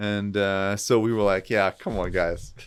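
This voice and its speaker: A man with a German accent speaks in a very deep, low voice, captured in a very clean recording with a silent background. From southern Germany. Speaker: entrepreneur, real estate investor. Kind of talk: podcast interview. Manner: animated.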